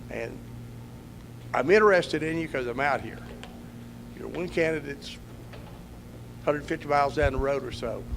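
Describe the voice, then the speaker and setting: A man's voice at a moderate pace, very wide pitch swings, and noticeable background noise. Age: 70s. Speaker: political candidate. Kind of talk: campaign speech at candidate forum.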